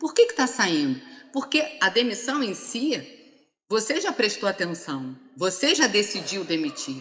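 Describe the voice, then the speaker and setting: Her pitch makes very wide swings. This woman keeps to a fairly slow pace. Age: 60s. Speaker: HR consultant. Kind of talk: conference talk. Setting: live-streamed seminar panel.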